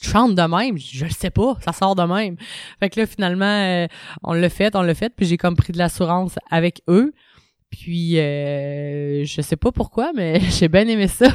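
A woman with a normal speaking voice talks fairly slowly at a fairly low pitch, with ordinary pitch variation. The sound is dry and close with no echo, on a very clean recording with a silent background. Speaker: punk rock singer and drummer. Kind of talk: casual interview.

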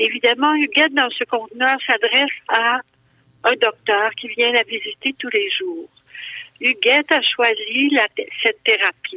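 A woman speaks with high pitch and lively intonation. Her pace is fairly slow. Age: 70s. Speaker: actress and novelist. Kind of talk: interview. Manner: halting, many hesitations.

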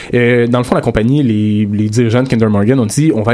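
In a Quebec accent, a man speaks very fast at a medium pitch. His tone is dark and mellow. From Quebec, South Shore of Montreal. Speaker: columnist on campus radio show. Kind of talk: casual panel discussion.

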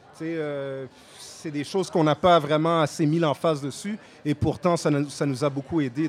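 At a moderate pace, a man speaks with a Quebec accent and a fairly high pitch. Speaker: rapper. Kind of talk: casual interview. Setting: festival tent.

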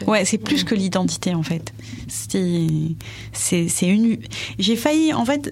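At a very slow pace and with very even loudness, a woman speaks over noticeable background noise. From France. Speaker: documentary filmmaker. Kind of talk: interview. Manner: halting.

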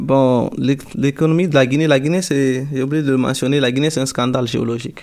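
A man talks at a moderate pace with fairly even intonation and a medium pitch. He has an unremarkable speaking voice. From Guinea, Peul from Télémélé. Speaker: university student. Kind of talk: radio interview.

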